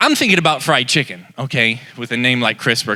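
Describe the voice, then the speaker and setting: A man speaks with a bright, sharp tone in a Southern US accent. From Texas, Dallas. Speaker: comedian. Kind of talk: stand-up. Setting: stage with audience.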